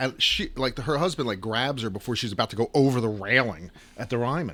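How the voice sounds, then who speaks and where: An animated tone carries this voice with an American accent at a moderate pace. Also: man. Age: younger than 60s. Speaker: guitar shop owner and podcast host. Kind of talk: casual chat. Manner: animated storytelling.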